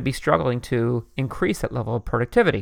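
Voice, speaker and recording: Background sound is quiet. The speaker talks with an American accent. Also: man. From US, Philadelphia area. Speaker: podcast host. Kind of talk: solo podcast commentary. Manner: fast.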